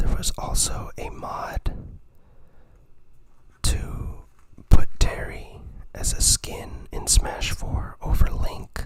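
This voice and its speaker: Whispering at a very slow pace, with long, frequent pauses over noticeable background noise. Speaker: ASMR creator. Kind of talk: ASMR show-and-tell of an art book. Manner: whispered.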